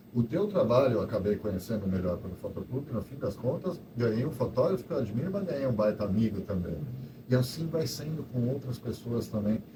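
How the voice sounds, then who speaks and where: Over noticeable background noise and audible room echo, a man speaks at a fairly quick pace in a medium pitch. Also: lively intonation. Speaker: photo club organizer. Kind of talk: casual talk to live audience. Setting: event hall with audience. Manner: halting.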